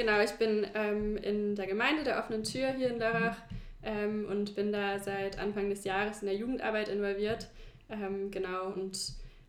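Her pace is moderate. The woman's voice carries audible echo from the room. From China (German-American family). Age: 20s. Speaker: teacher. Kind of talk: casual interview.

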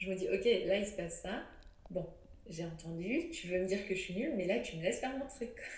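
A woman at a medium pitch sounds somewhat breathy, with lively intonation and long, frequent pauses. Audible room echo surrounds her voice. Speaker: menstrual cycle educator and author. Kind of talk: interview. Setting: remote recording. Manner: fast.

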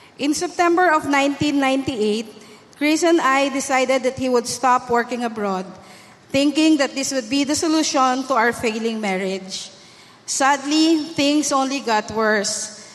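A woman's high-pitched voice at a fairly slow pace, with ordinary pitch variation and noticeable background noise. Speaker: church member. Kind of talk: testimony. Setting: church.

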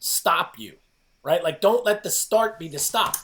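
There is an animated tone to this man's speech. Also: very clean recording, silent background. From New Jersey, near New York City. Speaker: fitness coach and author. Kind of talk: podcast interview.

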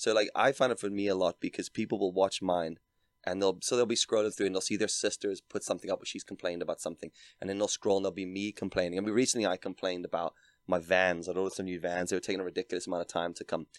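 Talking very fast with fairly even intonation, a man with a fairly low voice is heard on a very clean recording with a silent background and a dry, close sound with no echo. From South Africa. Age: 30s. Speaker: podcast guest. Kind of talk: casual chat.

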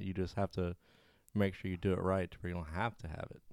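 A man with a Southern US accent speaks at a fairly low pitch. The recording is very clean, with a silent background and a dry, close sound with no echo. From US South. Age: 20s. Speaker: friend of the host. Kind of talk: casual chat.

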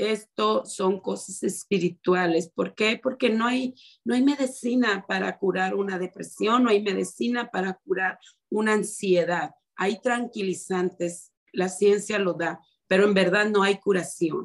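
At a fairly slow pace, a woman speaks in an unremarkable speaking voice, medium in pitch with ordinary pitch variation. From Mexico, Ciudad Obregón, Sonora. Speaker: minister's wife, church member. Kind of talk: testimony.

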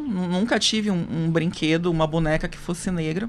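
Her voice has a bright, sharp tone and ordinary pitch variation. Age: 30s. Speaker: lawyer on racial equality commission. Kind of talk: radio interview. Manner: halting, many fillers.

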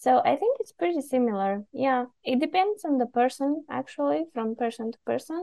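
Speaking with a Bulgarian accent, a woman with a high voice swings very widely in pitch and hardly pauses. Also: moderate pace. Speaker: podcast guest from Bulgaria. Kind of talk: casual conversation.

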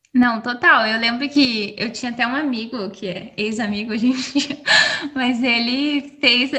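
Noticeable background noise sits behind a woman's fairly high voice. Her pitch varies in an ordinary way. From Brazil. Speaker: podcast co-host. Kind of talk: casual chat.

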